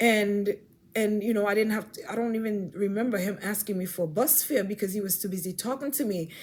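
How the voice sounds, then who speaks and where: Somewhat breathy female voice of medium pitch at a fairly quick pace. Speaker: faith vlogger. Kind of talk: personal testimony. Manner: fast; halting with many repetitions.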